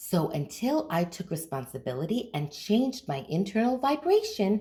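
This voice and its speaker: A woman's medium-pitched voice, dark and mellow in tone with vocal fry, very wide pitch swings and a moderate pace. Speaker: manifestation coach. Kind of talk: casual talk to camera, coaching explanation.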